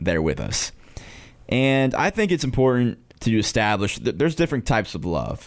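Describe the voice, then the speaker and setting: Spoken at a moderate pace with an American accent, the voice has very wide pitch swings and vocal fry. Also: man. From North Carolina. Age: 20s. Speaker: student podcast host. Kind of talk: casual chat. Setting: studio.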